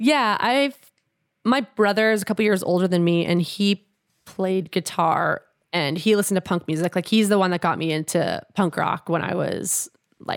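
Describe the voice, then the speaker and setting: A woman with an unremarkable speaking voice and a Canadian accent talks at a moderate pace and medium pitch with ordinary pitch variation, in a dry, close sound with no echo on a very clean recording with a silent background. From Canada, Edmonton, Alberta. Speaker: punk singer and guitarist. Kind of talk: casual chat.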